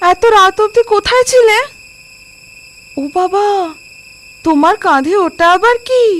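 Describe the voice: Using a put-on character voice, a woman speaks at a fairly slow pace in an extremely high pitch, with a fairly bright tone and lively intonation.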